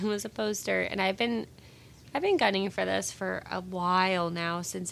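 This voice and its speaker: A woman speaks at a moderate pace with a medium pitch. The recording is very clean, the background silent. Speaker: podcast co-host. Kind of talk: casual chat. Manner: chatty, hesitant with filler words.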